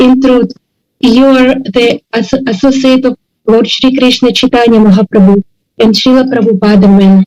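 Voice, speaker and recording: A woman's high-pitched voice at a moderate pace, with fairly even intonation and very even loudness, in a dry, close sound with no echo, over background music. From India, Karnataka. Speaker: devotee. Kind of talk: devotional tribute speech. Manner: halting.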